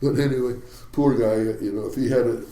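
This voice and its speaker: A man talks at a moderate pace amid audible room echo. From US Pacific Northwest, Seattle. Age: 80s+. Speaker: retired commercial fishing captain. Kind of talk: interview storytelling. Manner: halting.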